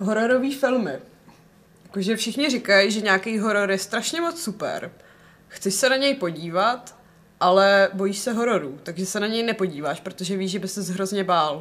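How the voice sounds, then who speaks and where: With lively intonation, a woman speaks at a moderate pace and medium pitch in a plain, everyday voice. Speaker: podcast co-host. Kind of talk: casual chat.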